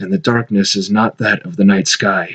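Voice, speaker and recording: A man puts on a character voice. It sits at a fairly low pitch. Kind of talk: horror narration. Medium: read story. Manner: measured, ominous.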